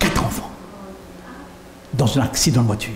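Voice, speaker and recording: A man speaks with ordinary pitch variation amid audible room echo and noticeable background noise. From France. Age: 70s. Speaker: pastor. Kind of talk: sermon.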